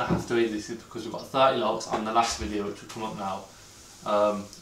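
A man speaks at a very fast pace. Light background noise and audible room echo are present. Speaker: vlogger. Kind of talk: casual vlog chat. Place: kitchen. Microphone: camera far.

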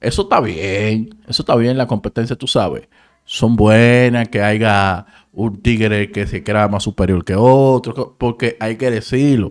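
The speaker has a Dominican accent and a fairly slow pace. The background is quiet. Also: man. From Dominican Republic, San Cristóbal; Dominican Republic. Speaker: entertainment news YouTuber; entertainment commentator. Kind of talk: casual commentary. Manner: animated. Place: home room. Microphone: studio mic.

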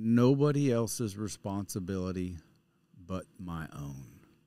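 Very slowly, a man with an American accent speaks in a dark, mellow tone at a fairly low pitch, the sound dry with no echo. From West Texas. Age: 40s. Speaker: vlogger. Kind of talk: casual vlog monologue. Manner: halting, repeats words. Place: studio. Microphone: studio mic.

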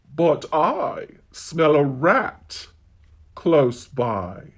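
A cartoonish character voice sits at a middle pitch. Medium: puppet show. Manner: scolding, exclamatory.

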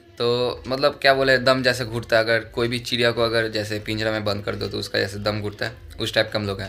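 At a fairly quick pace, a man speaks at medium pitch with a fairly bright tone.

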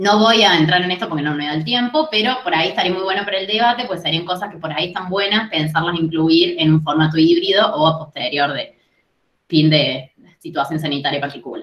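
Over a quiet background with audible room echo, a woman talks at a fairly quick pace with ordinary pitch variation. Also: fairly low pitch for a woman. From Argentina. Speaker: university chemistry lecturer. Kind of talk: presentation. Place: home room. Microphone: webcam.

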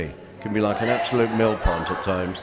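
A man rattles along at a very fast pace with clear music behind him. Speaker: radio presenter. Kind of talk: interview answer. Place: hall.

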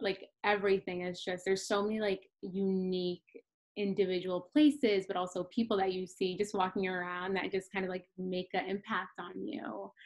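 Over a quiet background, a woman in an American accent talks at a moderate pace with fairly even intonation. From Massachusetts. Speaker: nonprofit program manager; panelist. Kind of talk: panel discussion. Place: home room. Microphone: video call.

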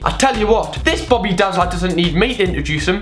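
A man's voice with faint music playing in the background. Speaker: comedy vlogger. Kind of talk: comedic commentary to camera. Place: home room. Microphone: phone near.

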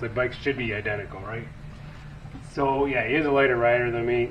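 Light background noise sits behind a man's voice. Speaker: motorcycle vlogger. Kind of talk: casual vlog chat. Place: garage. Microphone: camera far.

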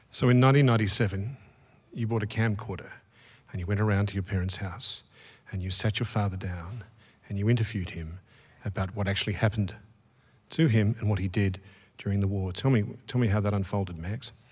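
A man with an Australian accent speaks with a fairly low pitch and fairly even intonation. His voice is somewhat breathy, broken by long, frequent pauses. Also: fairly quick pace. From Australia, Melbourne. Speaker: interviewer. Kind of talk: onstage interview. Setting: stage with audience. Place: stage. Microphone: studio mic.

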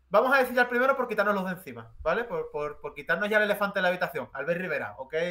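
Speaking at a very fast pace with hardly any pauses, a man uses a high pitch, lively intonation and a raised, projected voice. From Spain, Jerez (Andalusia); Andalusia, Spain. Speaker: commentator; interview guest. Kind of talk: casual chat. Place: home room.

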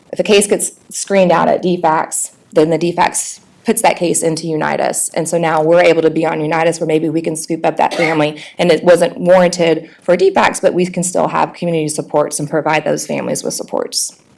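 Fairly quick delivery with hardly any pauses and fairly even intonation, over noticeable background noise. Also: woman, fairly low pitch for a woman. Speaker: nonprofit director. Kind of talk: presentation. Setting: board meeting. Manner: fast.

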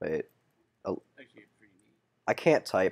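A man is speaking. He mumbles. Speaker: gaming YouTuber. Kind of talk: gameplay commentary.

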